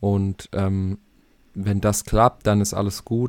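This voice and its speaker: A man's dark, mellow voice, fairly low in pitch, unfolds at a very slow pace on a very clean recording with a silent background. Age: 20s. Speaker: football podcast co-host. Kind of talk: casual chat.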